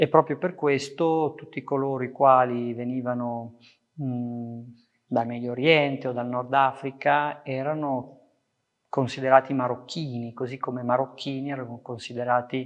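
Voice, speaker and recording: This man talks fairly slowly at medium pitch. His intonation is monotone and flat. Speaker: professor and poet. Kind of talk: testimony.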